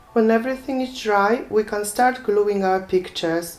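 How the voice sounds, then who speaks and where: Over noticeable background noise, a woman talks at a fairly slow pace at a medium pitch with ordinary pitch variation. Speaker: craft tutorial maker. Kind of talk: tutorial. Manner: calm, instructive.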